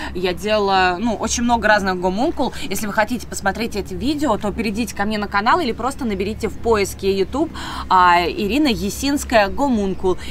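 Her fairly quick speech has a dry sound with no echo. Light background noise can be heard as the woman talks. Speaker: video blogger. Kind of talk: casual vlog chat with a tutorial tone. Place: garden. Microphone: camera far.

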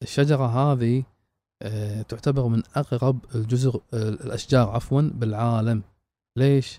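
In a Kuwaiti accent, a voice with a dark, mellow tone speaks at a very slow pace with monotone, flat intonation and very even loudness, on a very clean recording with a silent background and a dry, close sound with no echo. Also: man, medium pitch for a man. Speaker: traveler and explorer. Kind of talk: interview.

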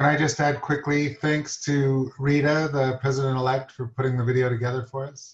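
Somewhat breathy and fairly high in pitch, a man talks at a fairly quick pace with hardly any pauses in a monotone, flat intonation. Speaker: conference organizer introducing speaker. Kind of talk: event introduction. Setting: virtual video call.

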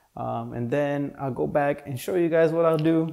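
A man's dark, mellow voice at a moderate pace over a quiet background. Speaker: fitness vlogger. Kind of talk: casual vlog chat. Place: garage. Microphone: lapel.

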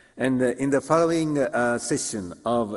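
A man talks fairly slowly, his intonation fairly even, with little sound behind him. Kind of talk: formal speech summarizing sessions. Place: hall. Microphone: podium.

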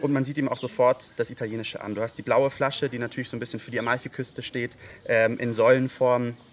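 Light background noise behind a man talking at a fairly quick pace. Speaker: bartender host. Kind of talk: tutorial. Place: garden. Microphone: studio mic.

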